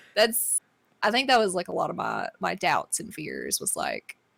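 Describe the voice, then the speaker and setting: A woman talks with a strong Southern US accent. Her pace is fairly slow. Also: big swings in loudness, dry, close sound with no echo. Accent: thick southern US. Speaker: streamer. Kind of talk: casual chat. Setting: live stream.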